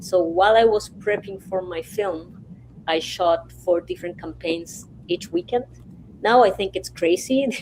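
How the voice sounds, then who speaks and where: A woman talks at a fairly slow pace in an ordinary speaking voice, medium in pitch with ordinary pitch variation. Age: 50s. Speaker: filmmaker. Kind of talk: panel discussion. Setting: video call.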